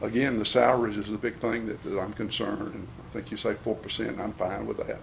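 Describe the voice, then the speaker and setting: Noticeable background noise sits behind the speaker. A man with a Southern US accent talks at a very fast pace. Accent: Southern US (Georgia). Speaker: county sheriff. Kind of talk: budget presentation at county commission meeting. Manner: casual, folksy.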